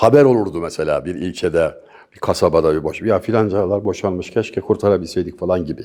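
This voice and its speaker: At a fairly quick pace, a man speaks in a very clean recording with a silent background. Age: 60s. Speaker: poet and commentator. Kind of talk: interview.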